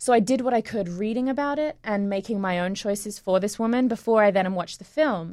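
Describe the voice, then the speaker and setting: A woman at a fairly high pitch and a fairly quick pace, with ordinary pitch variation, hardly any pauses and a quiet background. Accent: Australian. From England and Australia. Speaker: musical theatre actress. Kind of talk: casual interview chat. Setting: studio.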